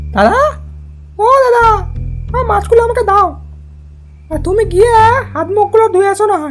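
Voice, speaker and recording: Faint music plays in the background as a cartoonish character voice speaks at a moderate pace. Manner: halting, with drawn-out hesitations.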